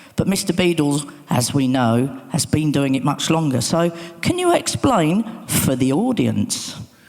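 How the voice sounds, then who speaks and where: The pace is fairly slow. Noticeable background noise sits behind the speech. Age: 60s. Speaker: DJ and remixer, session host. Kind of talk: conference talk. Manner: animated.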